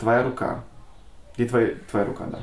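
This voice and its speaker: Audible room echo surrounds the voice of a man. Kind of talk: interview. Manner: halting.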